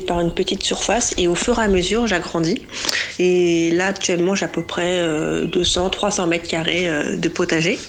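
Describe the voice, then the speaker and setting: The woman's pitch is medium and her pace moderate. Noticeable background noise can be heard. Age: 30s. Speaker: smallholder, home gardener. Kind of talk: interview. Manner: hesitant, many fillers.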